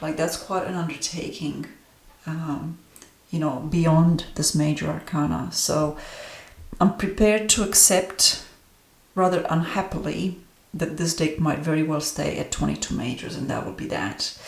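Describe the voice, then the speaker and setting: With a Romanian accent, a woman talks at a moderate pace in a very deep, low voice with ordinary pitch variation. The room echo is audible and background noise is noticeable. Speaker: tarot reader and astrologer. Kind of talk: deck review monologue. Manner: hesitant, many fillers.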